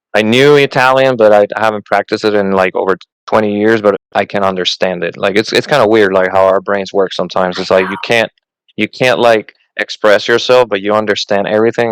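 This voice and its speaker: This man has a fairly low pitch and a slight Puerto Rican accent, recorded with a dry, close sound and no echo. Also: fairly quick pace. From Puerto Rico, west coast. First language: Spanish. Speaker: Coast Guard member and podcast host. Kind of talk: casual interview. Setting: podcast interview. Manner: halting, repeats words.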